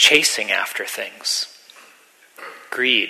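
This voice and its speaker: Noticeable background noise sits under the recording. A man speaks at a very slow pace. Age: 40s. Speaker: meditation teacher. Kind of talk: dharma talk.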